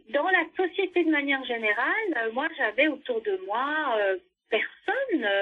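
A woman's voice sits high in pitch. It swings very widely up and down. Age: 50s. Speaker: former community radio producer. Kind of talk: interview testimony.

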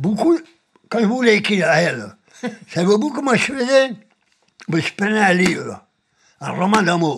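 Speaking at a fairly slow pace with long, frequent pauses, a man with a high pitch makes very wide pitch swings. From Spain. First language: Spanish (speaking French). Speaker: political refugee, retiree. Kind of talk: testimony. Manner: halting.

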